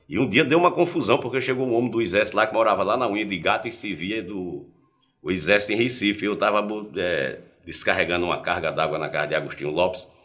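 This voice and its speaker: Audible room echo surrounds a man who talks at a very fast pace, his fairly low pitch making very wide swings. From Paraíba backlands, Brazil. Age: 60s. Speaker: journalist. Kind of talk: interview, personal life story.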